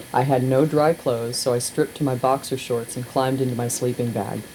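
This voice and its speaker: A fairly quick pace and fairly even intonation against noticeable background noise. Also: woman. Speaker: radio host. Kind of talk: reading aloud. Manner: casual.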